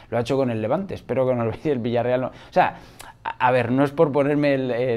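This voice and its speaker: A man speaks in a dark, mellow voice at medium pitch. His pace is moderate, with ordinary pitch variation. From Spain, Madrid. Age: 40s. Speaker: football YouTuber. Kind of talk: casual vlog commentary. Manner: animated. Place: home room. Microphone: lapel.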